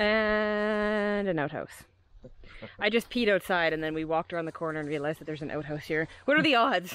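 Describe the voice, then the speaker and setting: A woman speaks at a fairly quick pace with a fairly low pitch and lively intonation, the sound dry with no echo. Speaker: travel vlogger. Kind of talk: casual vlog chat. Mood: amused, upbeat. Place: open country. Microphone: phone near.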